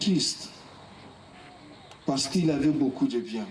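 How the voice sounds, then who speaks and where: Noticeable background noise along with audible room echo. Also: man. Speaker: evangelist preacher. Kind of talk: sermon. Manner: slow and calm.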